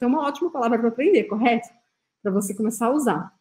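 A woman speaks at a high pitch. Her tone is dark and mellow. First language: French (speaking Portuguese). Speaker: French teacher. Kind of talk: tutorial. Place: home room.

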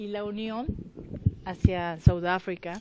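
The intonation stays fairly even while light noise runs in the background. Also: woman. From Mexico, Michoacán. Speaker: visual artist; interviewee. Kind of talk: interview testimony. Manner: halting. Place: garden. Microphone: handheld.

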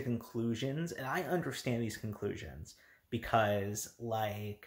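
Male speech, somewhat breathy, with ordinary pitch variation. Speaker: YouTuber discussing manga. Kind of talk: casual vlog commentary. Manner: halting, many fillers.

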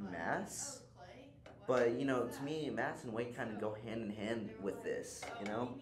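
A fairly slow pace over music in the background. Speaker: student actor. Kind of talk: acted comedy dialogue. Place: meeting room.

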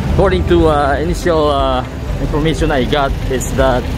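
The sound is dry with no echo, though noticeable background noise is present. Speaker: walking tour vlogger. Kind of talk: casual vlog commentary. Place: street. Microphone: phone near.

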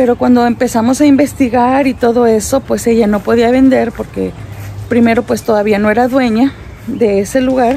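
Over faint music in the background, a woman talks at a moderate pace in a monotone, flat intonation with very even loudness and a dry sound with no echo. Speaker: family vlogger. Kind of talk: casual vlog chat. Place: garden. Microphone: phone near.

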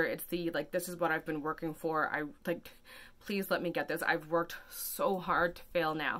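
A woman's fairly low voice, bright and sharp in tone, with fairly even intonation at a moderate pace. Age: 30s. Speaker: vlogger. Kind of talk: casual vlog monologue. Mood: anxious, emotional, earnest. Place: home room. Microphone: phone near.

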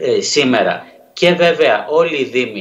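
Amid audible room echo, a man speaks at medium pitch with lively intonation.

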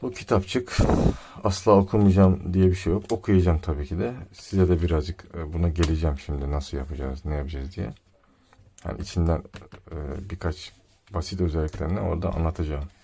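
A man speaks with a very deep, low pitch. His tone is dark and mellow, and somewhat breathy. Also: ordinary pitch variation, fairly quick pace. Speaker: tech reviewer / YouTuber. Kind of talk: product unboxing review. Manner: casual, joking.

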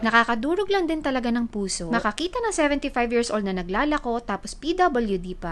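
A woman's high-pitched voice with very wide pitch swings over noticeable background noise. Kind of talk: voice-over narration.

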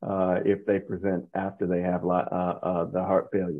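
The man's moderate pace is heard over a quiet background. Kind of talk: interview conversation. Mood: calm, thoughtful. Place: home room. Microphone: video call.

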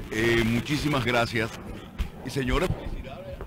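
A man's voice over music in the background. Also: dry sound with no echo. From Dominican Republic. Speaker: radio announcer. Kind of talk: interview answer. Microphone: studio mic.

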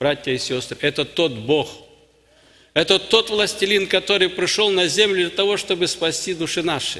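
A man's high-pitched voice at a moderate pace, with ordinary pitch variation over a quiet background. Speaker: preacher. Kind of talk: sermon. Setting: church. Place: church. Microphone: podium.

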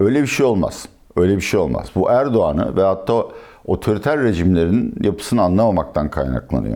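Speaking at a fairly quick pace, a man with a fairly low, dark, mellow voice and vocal fry keeps his loudness very even while his pitch swings very widely. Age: 60s. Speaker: economist and political analyst. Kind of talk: interview.

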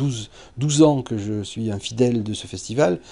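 Dark and mellow in tone, this man's voice has a medium pitch and ordinary pitch variation. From southern France. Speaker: astrophysicist; teacher. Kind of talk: interview testimony. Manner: halting, many hesitations. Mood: calm, reflective. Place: classroom.

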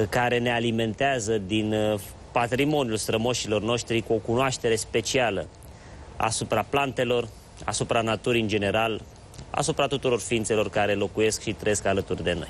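A man talks at a moderate pace with fairly even intonation and very even loudness. Light background noise can be heard. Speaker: TV show host. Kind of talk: show introduction monologue. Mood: warm, reflective. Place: studio. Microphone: lapel.

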